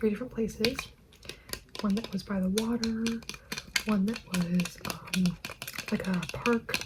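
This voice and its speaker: Long, frequent pauses at a fairly slow pace, with noticeable background noise. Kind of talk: ASMR yap and chat to camera. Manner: soft, casual, chatty.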